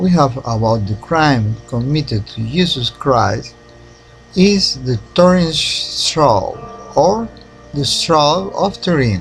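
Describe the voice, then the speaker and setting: Over music in the background, the speaker moves at a very slow pace with very wide pitch swings. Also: man. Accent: non-native. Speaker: independent researcher. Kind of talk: documentary narration.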